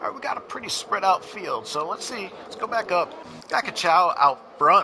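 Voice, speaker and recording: With an American accent, a man talks at a moderate pace, his loudness swinging widely, with noticeable background noise behind him. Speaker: esports race commentator. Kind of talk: live commentary. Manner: casual, halting with fillers.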